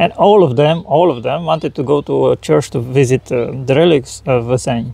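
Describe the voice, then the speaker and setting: In a Romanian accent, a man with a dark, mellow tone and a fairly high pitch speaks at a moderate pace with hardly any pauses and ordinary pitch variation. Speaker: spiritual channeler. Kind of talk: interview. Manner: halting.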